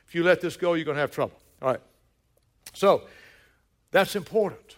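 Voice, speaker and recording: The speaker has a Southern US accent and an animated tone. The recording is very clean, with a silent background. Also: man. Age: 60s. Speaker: pastor. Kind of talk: sermon. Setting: church.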